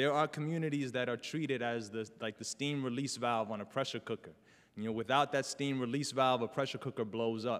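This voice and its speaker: Speaking at a fairly quick pace with a New York accent, a man keeps a medium pitch and fairly even intonation in a very clean recording with a silent background. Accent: New York City. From New York City, South Bronx. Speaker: community organizer. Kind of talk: talk to an audience. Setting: stage with audience. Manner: halting.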